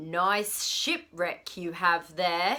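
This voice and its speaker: A booming, growling put-on character voice. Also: woman. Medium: read story.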